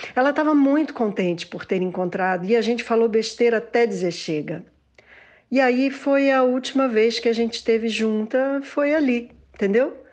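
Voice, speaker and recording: A plain, everyday voice keeps a moderate pace with ordinary pitch variation, set against a quiet background. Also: woman, fairly high pitch for a woman. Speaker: interviewee, daughter. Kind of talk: interview.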